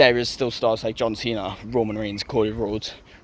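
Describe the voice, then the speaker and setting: A man talks over noticeable background noise. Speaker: wrestling commentary youtuber. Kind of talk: casual solo review. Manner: fast.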